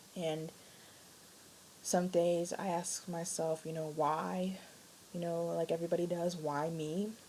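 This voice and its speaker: Whispering quietly, a woman speaks at a fairly slow pace with long, frequent pauses. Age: young. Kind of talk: casual talk to camera. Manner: quiet, near whisper.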